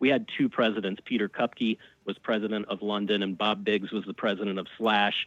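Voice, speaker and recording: A man speaks at a moderate pace with an American accent and medium pitch. His is a plain, everyday voice with ordinary pitch variation. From US South, Birmingham, Alabama. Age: 40s. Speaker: radio host and record label founder. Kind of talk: casual interview chat. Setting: radio studio.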